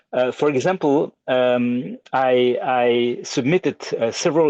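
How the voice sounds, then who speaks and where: Against a quiet background, a man speaks in a French accent at a medium pitch. The sound is dry and close with no echo, and his pitch varies in an ordinary way. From Belgium. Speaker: audience member asking a question. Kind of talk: question in online Q&A. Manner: halting, many repetitions.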